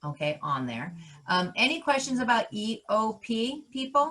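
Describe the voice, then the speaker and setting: A woman speaks loudly. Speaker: college counselor. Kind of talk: live workshop tutorial. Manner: loud and animated; passionate, energetic.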